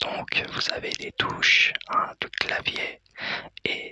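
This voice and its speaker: A man whispers at a very slow pace in a dry, close sound with no echo. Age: 30s. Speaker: ASMR content creator. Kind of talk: ASMR explanation to camera. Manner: soft-spoken, whispered.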